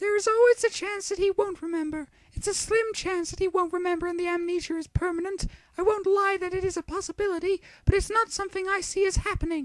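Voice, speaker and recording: An extremely high, squeaky put-on character voice at a very fast pace. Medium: read story. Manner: measured, reassuring.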